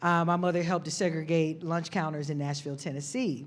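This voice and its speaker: Speaking with an Atlanta accent, a woman sounds animated, her fairly low pitch moving with ordinary variation. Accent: Southern US, Atlanta. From US South, Atlanta, Georgia. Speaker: nonprofit director, army veteran. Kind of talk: panel discussion.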